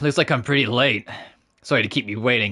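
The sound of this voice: Putting on a gravelly character voice, a man talks at a very fast pace at a medium pitch.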